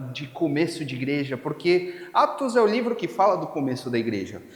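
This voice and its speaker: A man's pitch swings very widely amid noticeable background noise and audible room echo. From Spain. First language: Spanish (speaking Portuguese). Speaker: pastor. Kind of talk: sermon.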